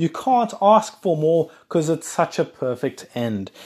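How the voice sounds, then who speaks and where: On a very clean recording with a silent background, a man speaks in a dark, mellow tone with lively intonation. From South Africa. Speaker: podcast host. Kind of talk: casual solo monologue. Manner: rambling with fillers.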